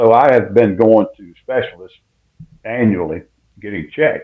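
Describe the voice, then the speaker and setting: A man with a South Carolina accent and a medium-pitched voice. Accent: Southern US (South Carolina). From US South, South Carolina (Winnsboro). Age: 70s. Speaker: retired football coach. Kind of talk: radio interview.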